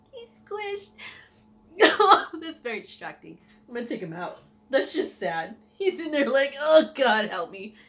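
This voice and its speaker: With music in the background, a woman speaks at a high pitch and a moderate pace, her pitch swinging very widely between long, frequent pauses. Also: big swings in loudness. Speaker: paranormal storyteller vlogger. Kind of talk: casual storytelling vlog. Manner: laughing.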